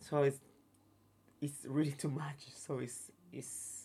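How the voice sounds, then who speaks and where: A man speaks very slowly in a fairly high, somewhat breathy voice with monotone, flat intonation. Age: 30s. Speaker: touring performer. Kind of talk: interview. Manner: halting.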